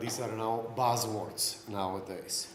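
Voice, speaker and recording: At a fairly slow pace, the speaker talks in a monotone, flat way with a non-native accent, with noticeable background noise and audible room echo. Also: man. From Slovenia. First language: Slovenian. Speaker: conference speaker, IT trainer. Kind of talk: lecture. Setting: stage with audience.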